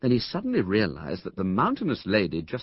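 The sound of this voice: The recording presents an unforced reading voice.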